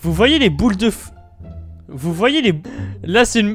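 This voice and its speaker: The speaker talks at a fairly slow pace. Music plays in the background. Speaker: Minecraft video creator. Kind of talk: casual talk to camera. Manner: stammering, many restarts.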